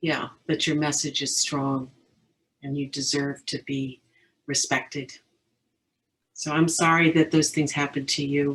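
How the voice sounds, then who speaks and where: At a fairly slow pace, a woman speaks in a very deep, low voice with monotone, flat intonation. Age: 60s. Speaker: counselor, audience member. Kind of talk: audience comment in online discussion. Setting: video call.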